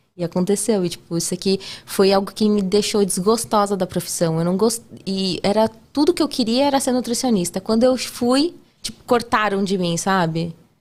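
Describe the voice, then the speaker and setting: A woman's an ordinary speaking voice, medium in pitch, with lively intonation at a moderate pace. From Brazil, São Paulo. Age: 30s. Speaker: podcast guest, nutritionist and TV cooking contestant. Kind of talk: casual interview chat.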